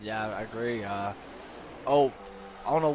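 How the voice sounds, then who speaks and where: A man with an American accent against noticeable background noise. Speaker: sim racing commentator. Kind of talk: live commentary.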